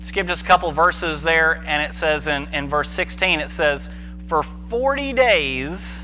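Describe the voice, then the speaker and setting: A man speaking at a fairly slow pace over music in the background. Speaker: preacher giving a sermon. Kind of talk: church sermon, casual teaching. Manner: conversational, informal, humorous asides.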